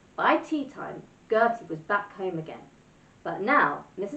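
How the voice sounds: The intonation rises and falls in a lively way. It is a natural reading voice.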